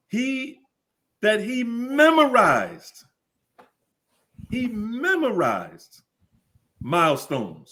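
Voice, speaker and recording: A man with an American accent, an extremely high pitch and a bright, sharp tone. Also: long, frequent pauses. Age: 70s. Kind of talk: interview.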